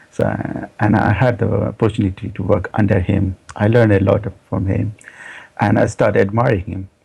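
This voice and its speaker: This man talks at a moderate pace in a fairly low pitch, his intonation monotone and flat. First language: not English. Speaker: software developer. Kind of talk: interview. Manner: halting, many fillers and repeats.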